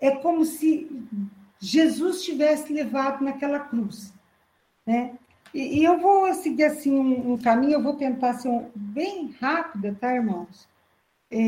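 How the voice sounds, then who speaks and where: A woman's high-pitched, dark, mellow voice with lively intonation at a fairly slow pace, with audible room echo. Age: 50s. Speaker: church preacher. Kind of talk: sermon. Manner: halting.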